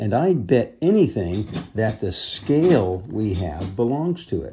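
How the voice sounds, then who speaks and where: This man's voice sits fairly low. His pitch swings very widely. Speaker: reader of a children's book. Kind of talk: read-aloud storytelling. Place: home room. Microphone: phone near.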